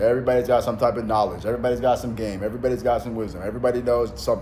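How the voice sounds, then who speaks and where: A man with a medium pitch speaks at a very fast pace, with vocal fry and a dark, mellow tone. The room echo is audible. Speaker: self-help influencer and mentor. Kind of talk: motivational monologue. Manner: animated; many fillers and restarts.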